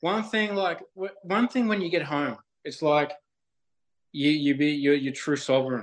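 With an Australian accent, a man speaks at a fairly slow pace and a fairly high pitch, his intonation lively and broken by long, frequent pauses. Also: quiet background. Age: 20s. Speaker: spiritual nature guide. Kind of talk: casual chat.

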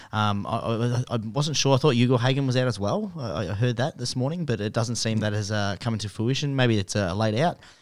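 In an Australian accent, a man with a medium-pitched voice and ordinary pitch variation talks at a fairly quick pace in a very clean recording with a silent background. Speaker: sports betting podcast co-host. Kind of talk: casual chat.

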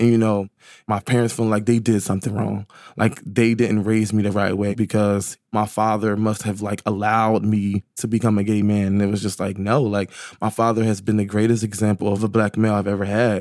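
A man speaks at a fairly quick pace in a fairly low pitch, his intonation flat and monotone. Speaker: interviewee sharing life story. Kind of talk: personal conversation.

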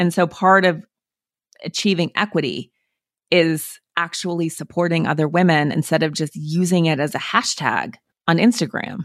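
Ordinary pitch variation and a moderate pace in a plain, everyday voice. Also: woman, fairly low pitch for a woman. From Montana, US. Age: 40s. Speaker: author. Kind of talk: interview.

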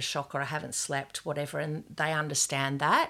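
A woman with an Australian accent, a very deep, low pitch, and a very fast pace, on a very clean recording with a silent background. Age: 50s. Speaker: gallery owner and former police sergeant. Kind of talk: casual interview. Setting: in her art studio.

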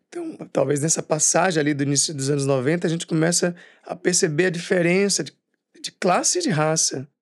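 A man with an ordinary speaking voice talks at a moderate pace over a quiet background. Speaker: actor and writer. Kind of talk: interview.

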